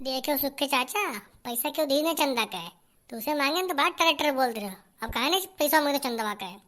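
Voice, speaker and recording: This cartoonish character voice talks at a fairly quick pace with lively intonation. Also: woman, high pitch for a woman. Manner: brash, loud.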